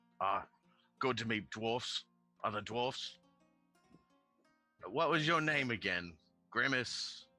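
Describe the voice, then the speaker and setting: A man uses a put-on character voice, gruff and raspy, at a medium pitch and a fairly slow pace. He leaves long, frequent pauses while faint music plays in the background. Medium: actual play. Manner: gruff, says "aye".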